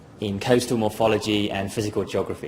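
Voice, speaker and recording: A British-accented man speaks at a fairly quick pace with a medium pitch. His intonation is monotone and flat, with noticeable background noise. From southern England, Dorset. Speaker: geoscience graduate. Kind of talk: presentation. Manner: halting, many fillers.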